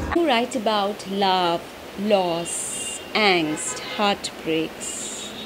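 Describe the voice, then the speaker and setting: A woman talks at a very slow pace with ordinary pitch variation. Noticeable background noise runs underneath. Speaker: interviewer. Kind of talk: interview question. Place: home room.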